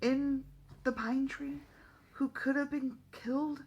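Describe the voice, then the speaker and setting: This is a put-on character voice, high-pitched and raspy. It moves at a fairly slow pace with monotone, flat intonation. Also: female-sounding voice. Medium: read story.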